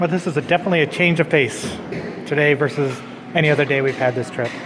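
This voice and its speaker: Talking at a very fast pace, a man with a fairly high pitch keeps his intonation fairly even over noticeable background noise. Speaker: travel vlogger. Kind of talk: casual vlog narration.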